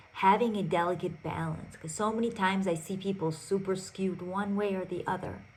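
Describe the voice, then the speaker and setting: The speaker keeps a moderate pace and fairly even intonation, with audible room echo. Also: woman. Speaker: podcast host and relationship coach. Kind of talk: solo podcast monologue. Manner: loud.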